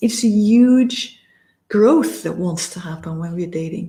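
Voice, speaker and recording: Very slow and somewhat breathy, a woman with a fairly high pitch speaks in a dark, mellow tone with ordinary pitch variation. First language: not English. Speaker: dating and relationship coach. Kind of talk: coaching talk to camera. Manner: halting at times, searching for words.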